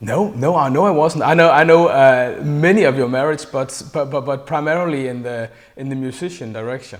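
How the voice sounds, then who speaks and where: A man with a Danish accent talks fairly quickly with hardly any pauses, at a fairly high pitch with ordinary pitch variation. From Denmark. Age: 40s. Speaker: interviewer, fan. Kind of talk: interview. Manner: halting, many fillers.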